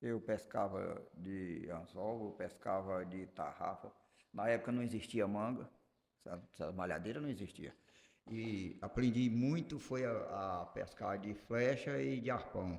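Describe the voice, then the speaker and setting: Vocal fry runs through a man's fairly low voice, which has ordinary pitch variation. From Brazil, Acre (Juruá river region). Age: 60s. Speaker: artisanal fisherman. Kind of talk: interview.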